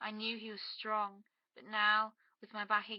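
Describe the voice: Plain reading aloud with a quiet background behind it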